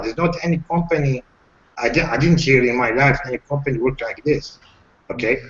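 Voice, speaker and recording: Amid noticeable background noise, a man with a non-native accent and a fairly high pitch talks at a moderate pace with lively intonation. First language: not English. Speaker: webinar participant asking questions. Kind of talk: live Q&A webinar. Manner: halting, with many fillers.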